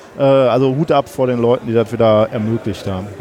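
Noticeable background noise behind fairly quick talking. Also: man. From Ruhr area, Germany. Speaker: science podcaster. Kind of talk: casual chat. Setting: podcast booth at a congress, under a parasol.

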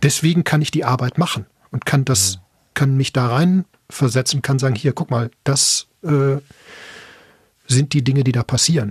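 A man at a medium pitch and moderate pace uses ordinary pitch variation and very even loudness, with long, frequent pauses in a dry, close sound with no echo. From Ruhr area, Bochum. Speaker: podcaster. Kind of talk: casual chat.

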